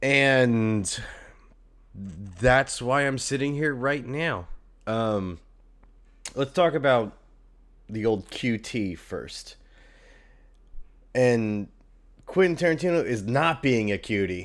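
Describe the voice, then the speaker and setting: A man at a very slow pace, with long, frequent pauses, on a very clean recording with a silent background. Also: medium pitch for a man, lively intonation. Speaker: podcast host. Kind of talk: casual solo podcast commentary. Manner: casual, many fillers.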